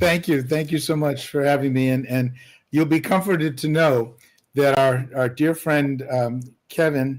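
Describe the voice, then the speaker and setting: An ordinary speaking voice from a man at a moderate pace, with fairly even intonation, very even loudness and a very clean recording with a silent background. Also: fairly high pitch for a man. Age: 60s. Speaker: musician. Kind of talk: casual chat. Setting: livestream panel.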